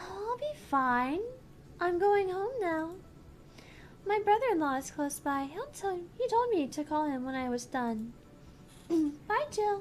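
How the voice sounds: Using a put-on character voice, a woman speaks at a slow pace with an extremely high pitch and big pitch swings.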